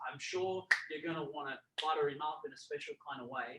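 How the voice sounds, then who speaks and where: With an Australian accent, a man speaks in a bright, sharp tone with lively intonation. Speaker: boxing gym show host. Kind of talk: live show hosting.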